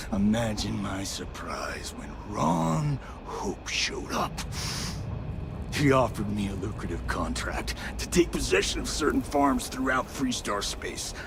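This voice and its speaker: A man speaks in a put-on character voice at a fairly slow pace over loud background noise. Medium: video game. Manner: gruff, defiant.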